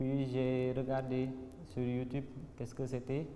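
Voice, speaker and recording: A man's dark, mellow voice in a room with audible echo. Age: 20s. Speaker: doctor and entrepreneur candidate. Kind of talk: interview testimony. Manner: hesitant, with repetitions.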